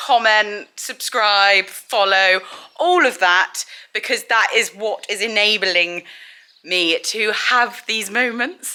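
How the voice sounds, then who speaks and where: A woman with an English accent speaks at a fairly high pitch in a bright, sharp tone with lively intonation. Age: 20s. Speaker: equestrian vlogger. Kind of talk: vlog. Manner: animated.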